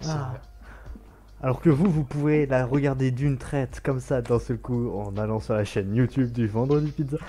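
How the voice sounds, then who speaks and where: A man's medium-pitched, somewhat breathy voice, dark and mellow in tone, at a moderate pace. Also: ordinary pitch variation. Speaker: talk show co-host. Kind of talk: casual chat.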